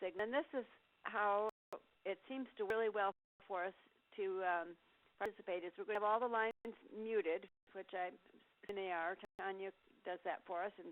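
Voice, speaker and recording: Using ordinary pitch variation, a woman speaks at a medium pitch. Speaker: career development program facilitator. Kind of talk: webinar presentation. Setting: online meeting with phone lines. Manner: fast.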